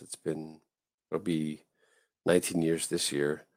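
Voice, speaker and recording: A man talks with an American accent. His pace is fairly slow. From Southern California. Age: 40s. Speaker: navy chaplain. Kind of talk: casual interview chat.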